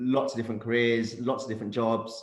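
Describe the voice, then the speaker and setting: A man speaks in a London accent with monotone, flat intonation. Audible room echo surrounds his voice. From London, England. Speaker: career coach and startup founder. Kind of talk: panel discussion.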